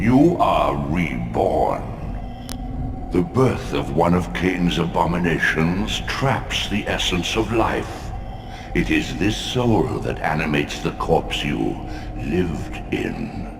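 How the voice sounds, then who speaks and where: Putting on a character voice, a man speaks very slowly at a very deep, low pitch, with clear echo and loud background noise. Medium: machinima. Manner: solemn, commanding.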